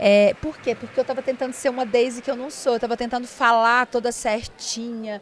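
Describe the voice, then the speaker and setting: A woman's high-pitched voice in a strong Minas Gerais accent, at a fairly quick pace. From interior of Minas Gerais, Brazil. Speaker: lawyer and podcast host. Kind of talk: podcast interview conversation. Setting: at a conference.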